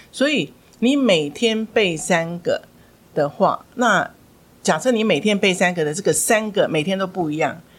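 Here a woman speaks with an unremarkable speaking voice at a medium pitch. Her intonation is lively. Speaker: former school principal and English education director. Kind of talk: interview on parenting and English learning.

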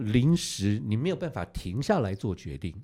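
A man talks with a fairly low pitch and a dark, mellow tone. His intonation is lively, on a very clean recording with a silent background. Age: old. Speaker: veteran TV director. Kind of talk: casual chat.

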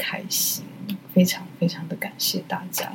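The pace is fairly slow. Intonation remains fairly even. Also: woman. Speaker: solo art podcast host. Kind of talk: casual chat. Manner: halting.

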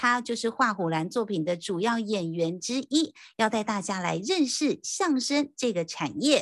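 Over a quiet background, a woman with a Taiwanese accent speaks in an upbeat, cheerful tone at a fairly high pitch, with very wide pitch swings and hardly any pauses. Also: fairly slow pace. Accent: Taiwanese Mandarin. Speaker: podcast host. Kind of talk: casual interview.

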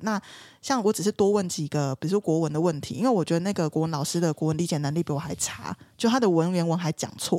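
Very fast and with lively intonation, a woman speaks in a fairly low pitch on a very clean recording with a silent background. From southern Taiwan. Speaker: lawyer. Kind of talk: casual chat.

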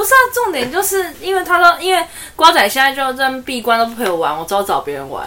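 Against noticeable background noise, a woman with a high pitch talks at a very fast pace in a raised, projected voice, with big swings in loudness and very wide pitch swings. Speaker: podcast co-host. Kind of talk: casual chat.

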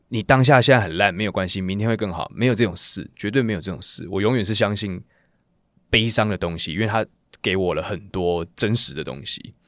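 Animated in tone, a man speaks at a fairly quick pace with a fairly low pitch. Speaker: singer. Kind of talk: interview, casual chat. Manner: animated, casual.

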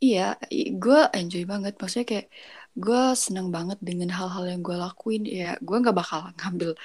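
A woman at medium pitch, an ordinary speaking voice with ordinary pitch variation and a moderate pace. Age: 20s. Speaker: university student. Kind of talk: casual chat.

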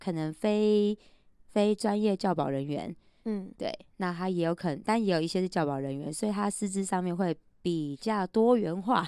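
In a very clean recording with a silent background, a woman with a dark, mellow tone speaks at medium pitch and a moderate pace with ordinary pitch variation. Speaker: preschool teacher. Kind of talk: casual chat.

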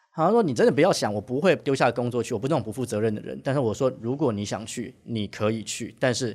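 The recording is very clean, with a silent background. A man with a medium pitch and ordinary pitch variation talks at a very fast pace, with hardly any pauses. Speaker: bartender, former Chinese teacher. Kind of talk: casual interview chat.

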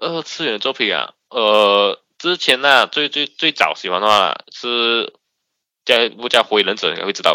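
Slowish in pace, a man talks at a medium pitch with lively intonation and a bright, sharp tone in a dry, close sound with no echo. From Malaysia, Sabah. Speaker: anonymous podcast guest. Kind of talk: casual chat. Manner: halting, repetitive.

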